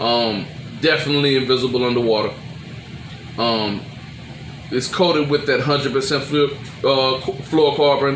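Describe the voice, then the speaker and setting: Fairly high-pitched male voice at a moderate pace, fairly even intonation and very even loudness, long, frequent pauses, noticeable background noise. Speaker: crappie angler. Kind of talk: casual talk to camera.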